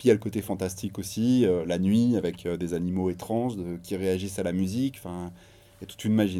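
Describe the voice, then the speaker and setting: A man speaks at a fairly quick pace with a fairly low pitch and a dark, mellow tone. His intonation is fairly even, on a very clean recording with a silent background. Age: 40s. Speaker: novelist and audio series producer. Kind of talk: radio interview.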